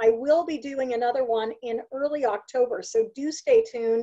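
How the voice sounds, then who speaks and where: Over a quiet background, a woman with a high pitch and a dark, mellow tone talks at a moderate pace with very wide pitch swings. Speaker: remote work coach presenter. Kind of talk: presentation webinar talk. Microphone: webcam.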